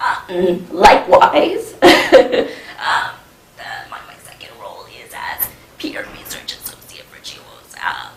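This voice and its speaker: A woman whispers at a very slow pace with big swings in loudness. Noticeable background noise and audible room echo fill the recording. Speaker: peer research associate and women's health coordinator. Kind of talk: presentation. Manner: halting, many fillers.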